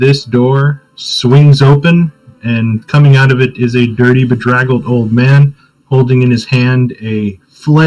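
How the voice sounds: This is a natural reading voice. Its intonation is fairly even.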